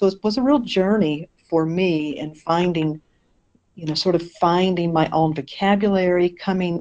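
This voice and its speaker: Speaking at a moderate pace with an American accent, a woman uses a fairly low pitch with ordinary variation. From eastern North Carolina, US South. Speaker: minister. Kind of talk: interview.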